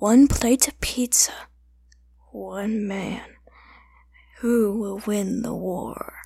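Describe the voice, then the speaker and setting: A woman's put-on character voice at medium pitch, very slow in pace, with long, frequent pauses. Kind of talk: trailer narration. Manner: dramatic, portentous.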